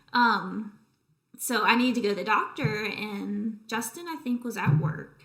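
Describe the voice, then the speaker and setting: Speaking fairly slowly with an American accent, a woman uses a fairly high pitch and lively intonation. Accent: Southern US (remarked by others). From US South, Southeast Georgia. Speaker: interview guest, grieving daughter-in-law. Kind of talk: casual chat.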